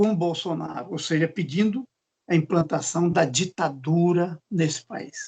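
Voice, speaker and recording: A man talks at a very slow pace. His voice is high, with ordinary pitch variation. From Bahia, Brazil. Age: 60s. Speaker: law professor. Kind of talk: lecture.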